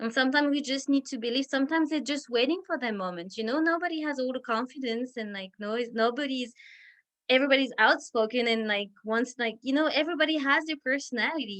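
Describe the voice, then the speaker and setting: Very fast speech from a woman with a French accent. Her pitch is high, with ordinary variation. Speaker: Montessori teacher leading parent workshop. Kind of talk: parent education talk over video call. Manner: halting, many repetitions and fillers.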